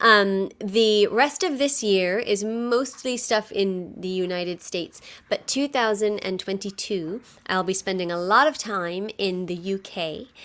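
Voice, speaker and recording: On a very clean recording with a silent background, a woman speaks at a fairly slow pace. Her pitch is medium, with ordinary pitch variation. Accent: New York. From New York. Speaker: musical theatre performer and impressionist. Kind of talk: interview.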